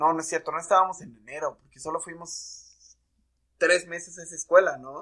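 A speaker with a Mexican accent talks at a moderate pace in a bright, sharp tone, with flat, monotone intonation and big swings in loudness. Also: man, high pitch for a man. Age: 20s. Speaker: podcast co-host. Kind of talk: casual chat.

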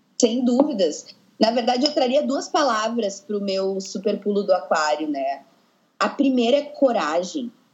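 At a fairly slow pace, a woman speaks in a fairly high, somewhat breathy voice with very wide pitch swings. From southern Brazil, Porto Alegre. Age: 20s. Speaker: dance teacher. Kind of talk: casual interview.

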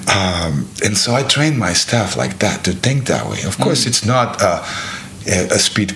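A man with a Serbian accent and lively intonation at a moderate pace, amid noticeable background noise. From Serbia (Belgrade). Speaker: bar owner. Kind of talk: casual chat. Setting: penthouse apartment in Sydney.

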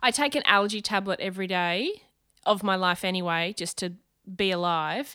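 On a very clean recording with a silent background, a woman with an Australian accent speaks in a bright, sharp tone with ordinary pitch variation. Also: medium pitch for a woman, moderate pace. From Brisbane, Australia. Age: 30s. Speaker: comedian and TV host. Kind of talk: casual interview chat. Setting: at her home.

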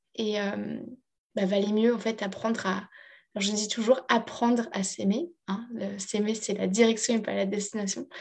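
A woman at a medium pitch, somewhat breathy, with fairly even intonation and a fairly slow pace. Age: 30s. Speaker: life coach. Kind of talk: interview testimony.

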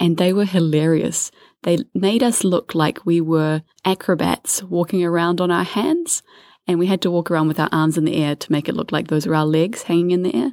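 Heard in a very clean recording with a silent background and a dry, close sound with no echo, this speaker with a New Zealand accent keeps a fairly quick pace, very even loudness and ordinary pitch variation. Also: woman, fairly low pitch for a woman. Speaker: travel podcast co-host. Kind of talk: casual chat. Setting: holiday home.

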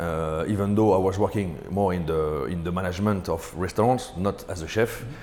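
A man's very deep, low voice in a French accent, fairly quick with hardly any pauses, in audible room echo. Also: ordinary pitch variation. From France, Paris. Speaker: ice cream business owner. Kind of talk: interview. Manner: halting.

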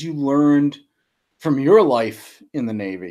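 Talking at a fairly slow pace, a man uses a fairly high pitch and lively intonation. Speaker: pastor, podcast host. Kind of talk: casual interview. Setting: video call.

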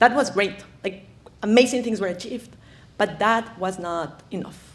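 A woman with a Spanish accent, at a moderate pace with lively intonation. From Ecuador, highlands. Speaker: conservationist. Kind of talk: lecture. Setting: stage with audience.

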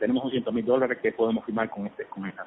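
A man talks at a very fast pace. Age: 50s. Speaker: commercial film director. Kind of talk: phone interview. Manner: halting, many repetitions.

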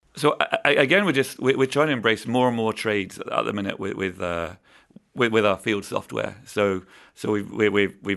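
A man talks at a moderate pace with an English accent. His pitch is fairly low, with ordinary variation. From southern England. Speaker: engineering manager for construction technology. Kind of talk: casual interview. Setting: studio.

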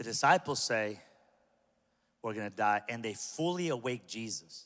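On a very clean recording with a silent background, a man with an American accent talks at a moderate pace in an animated tone with lively intonation. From Southern California (Pico Rivera). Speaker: pastor. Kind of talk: sermon.

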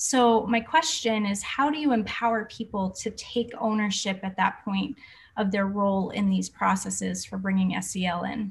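Speaking in an American accent, a woman with a medium pitch sounds somewhat breathy, keeping a moderate pace and ordinary pitch variation. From Boston, US. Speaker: podcast host, wellness educator. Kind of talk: interview. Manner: animated.

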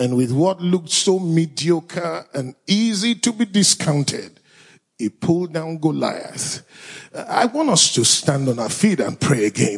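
With a Nigerian accent, a man speaks at a fairly slow pace in a high pitch, his voice making very wide pitch swings. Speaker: pastor. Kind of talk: fervent prayer, spoken to God. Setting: church with live audience. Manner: earnest, impassioned, pleading.

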